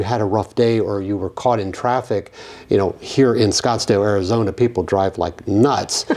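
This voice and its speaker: Ordinary pitch variation and a fairly quick pace from a normal speaking voice. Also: man. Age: 50s. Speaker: physician podcast host. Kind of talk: interview conversation.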